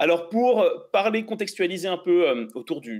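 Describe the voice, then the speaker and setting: A man's voice with very wide pitch swings. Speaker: tech YouTuber and interviewer. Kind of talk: interview. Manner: fast.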